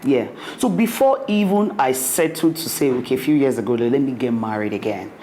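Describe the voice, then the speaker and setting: A woman at a moderate pace with very wide pitch swings, audible room echo and noticeable background noise. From Nigeria. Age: young. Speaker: restaurant owner. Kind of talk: interview.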